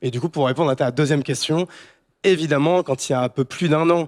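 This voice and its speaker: A plain, everyday voice from a man, fairly high in pitch with ordinary pitch variation, in a very clean recording with a silent background and a dry, close sound with no echo. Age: 30s. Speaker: startup founder and CEO. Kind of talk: panel discussion. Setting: stage with audience.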